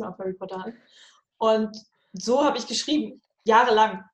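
A woman talks very fast, her pitch fairly high. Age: 30s. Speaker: novelist. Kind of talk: casual chat.

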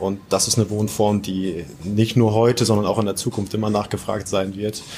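Using a normal speaking voice, a man talks at a moderate pace in a fairly low pitch. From northern Germany, Oldenburg. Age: 30s. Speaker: real estate developer and investor. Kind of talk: interview.

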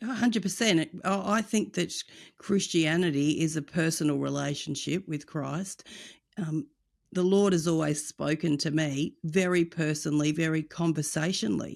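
In an Australian accent, a woman with a very deep, low pitch speaks at a moderate pace on a very clean recording with a silent background. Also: ordinary pitch variation. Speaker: evangelism ministry director. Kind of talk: interview.

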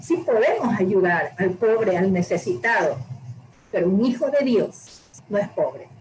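A woman's fairly high voice with lively intonation at a fairly slow pace, over noticeable background noise. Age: 60s. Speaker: church member giving testimony and teaching. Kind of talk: testimony and Bible teaching.

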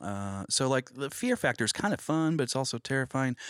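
A man with an American accent and a plain, everyday voice, medium pitch with ordinary variation, moderate pace, on a very clean recording with a silent background. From Oklahoma. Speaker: media producer and musician. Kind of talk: casual interview.

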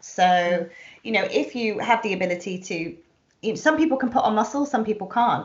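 A woman with a plain, everyday voice, moderate pace and lively intonation. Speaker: podcast host and self image consultant. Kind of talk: casual interview. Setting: video call.

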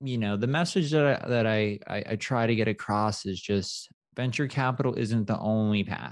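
A man speaks in a plain, everyday voice at medium pitch with ordinary pitch variation. The background is quiet. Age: 30s. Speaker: startup founder and CEO. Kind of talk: casual interview.

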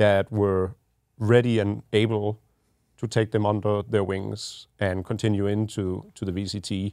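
In a very clean recording with a silent background and a dry, close sound with no echo, a voice with a Danish accent speaks in a monotone, flat way with a dark, mellow tone. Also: man. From Denmark. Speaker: esports team general manager. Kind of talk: casual podcast chat. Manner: halting with repeated words.

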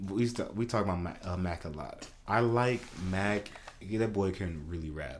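Audible room echo surrounds a man speaking at a moderate pace with a very deep, low pitch and ordinary pitch variation. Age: 20s. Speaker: podcast co-host. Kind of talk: casual chat. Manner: animated.

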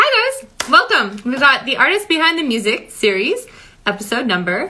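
Her voice raised and projected, a woman speaks at a high pitch with very wide pitch swings. She keeps a moderate pace. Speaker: podcast host. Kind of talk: casual interview chat.

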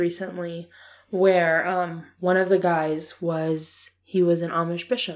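A woman with an American accent talks at a medium pitch. Her pace is very slow. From Ohio, US. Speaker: podcast co-host. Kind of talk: casual conversation. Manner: playful, sarcastic.

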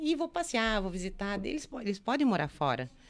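In a very clean recording with a silent background, a woman at medium pitch speaks with very wide pitch swings. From Brazil, Rio Grande do Sul (Santo Ângelo). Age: 50s. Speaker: entrepreneur, women's network founder. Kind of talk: interview, personal life story. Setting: studio.

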